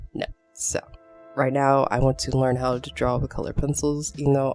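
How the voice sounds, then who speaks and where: Mumbling at a moderate pace with music in the background. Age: 20s. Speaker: artist. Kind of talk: casual talk to camera.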